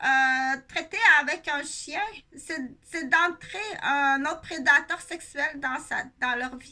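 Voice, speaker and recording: A woman with a Quebec accent speaks in a raised, projected voice at a very slow pace. Her pitch is high, with ordinary pitch variation. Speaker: nurse and video blogger. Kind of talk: casual monologue vlog. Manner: halting, many fillers.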